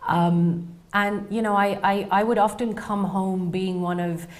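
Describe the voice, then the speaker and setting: Over audible room echo, a woman with a British accent speaks at a very slow pace in a medium pitch with fairly even intonation. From England. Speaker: researcher, PhD candidate. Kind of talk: interview storytelling.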